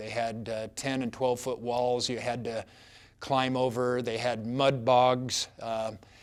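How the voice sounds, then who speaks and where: Recorded very cleanly with a silent background, a man speaks slowly-ish at a fairly slow pace, his medium pitch held in a flat monotone. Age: 60s. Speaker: doctor. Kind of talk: personal story. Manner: halting, many fillers.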